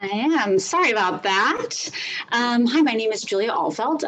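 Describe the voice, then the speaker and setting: A woman with an American accent and very wide pitch swings, in a dry, close sound with no echo. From United States. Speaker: customer experience consultant. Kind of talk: webinar presentation.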